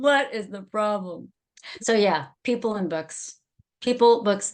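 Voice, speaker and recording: A woman with a California accent speaks in an animated tone with lively intonation, a fairly high pitch and a fairly slow pace. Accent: broad A of a California native. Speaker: adult school teacher. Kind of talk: casual interview chat.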